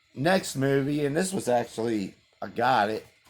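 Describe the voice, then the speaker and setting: A man talks at a very slow pace. There is music behind him. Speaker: vlogger. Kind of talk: casual chat. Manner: casual, hesitant.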